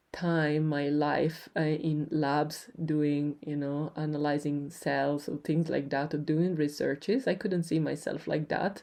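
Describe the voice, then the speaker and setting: A woman with an Italian accent speaks at a very slow pace in a very deep, low pitch and a dark, mellow tone against a quiet background. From Italy, Turin. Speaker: podcast host. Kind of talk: personal storytelling. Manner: hesitant, many fillers.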